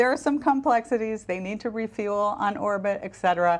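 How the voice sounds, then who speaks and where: With an American accent and lively intonation, a woman speaks in a plain, everyday voice at a fairly high pitch. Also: quiet background. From US Midwest, Michigan. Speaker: former space agency official and author. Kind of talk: TV interview.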